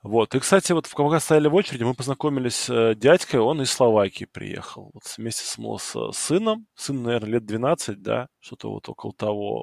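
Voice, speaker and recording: A man has a plain, everyday voice at medium pitch, with ordinary pitch variation and a moderate pace. He leaves hardly any pauses, his loudness swings widely, and the sound is dry and close with no echo. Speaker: fantasy football podcast host. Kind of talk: casual chat.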